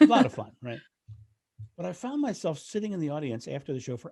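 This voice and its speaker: A man's fairly high, somewhat breathy voice with a dark, mellow tone, against a quiet background. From Delaware, US. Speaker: renaissance fair performer. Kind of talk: podcast interview. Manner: halting, repetitive starts.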